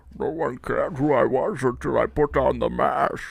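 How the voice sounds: The put-on character voice proceeds at a moderate pace. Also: man.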